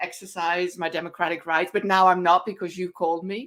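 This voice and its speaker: On a very clean recording with a silent background, a woman speaks at a medium pitch with a Dutch accent. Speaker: podcast co-host. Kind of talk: casual chat. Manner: halting.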